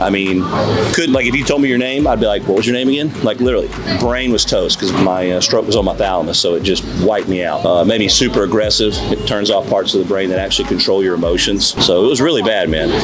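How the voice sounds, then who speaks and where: A man with a Southern US accent talks at a very fast pace in a fairly low pitch and very even loudness, with audible room echo and noticeable background noise. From US South, small-town Alabama. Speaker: doctor and entrepreneur. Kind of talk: casual interview. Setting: outdoors in a city square. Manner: animated.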